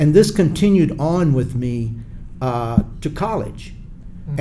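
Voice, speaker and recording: With a South Carolina accent, a man speaks in a fairly high, somewhat breathy voice with a dark, mellow tone. Audible room echo is present. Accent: Southern US (South Carolina). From US South, Charleston, South Carolina. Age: 70s. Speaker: retired Air Force colonel, civil rights activist. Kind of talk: interview.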